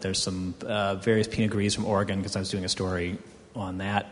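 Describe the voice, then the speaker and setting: A man speaks in an American accent with an ordinary speaking voice. His pitch is fairly low, with ordinary pitch variation. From US South, Houston, Texas. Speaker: wine magazine editor. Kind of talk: panel discussion.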